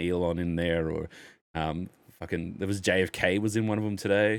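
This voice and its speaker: An animated man with an American accent on a very clean recording with a silent background. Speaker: podcast host. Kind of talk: casual chat.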